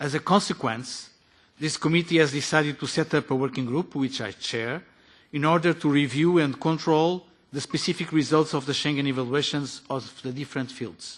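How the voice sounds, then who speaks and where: A man with a Portuguese accent speaks at a moderate pace and a fairly high pitch. His intonation is fairly even, and the background is quiet. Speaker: politician. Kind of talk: formal committee speech. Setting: parliamentary committee meeting. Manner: formal.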